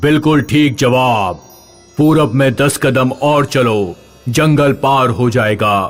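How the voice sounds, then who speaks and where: Over faint background music, a man at medium pitch does a put-on character voice at a very slow pace. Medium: read story. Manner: riddling, slow.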